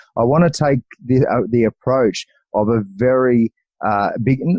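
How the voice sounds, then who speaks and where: A man talks with an Australian accent at a medium pitch. His pitch varies in an ordinary way. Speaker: podcast host. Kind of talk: interview. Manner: halting.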